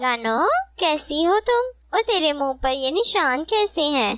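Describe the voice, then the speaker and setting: The speaker uses a cartoonish character voice and delivers it at a fairly slow pace. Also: woman, high pitch for a woman. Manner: warm, direct.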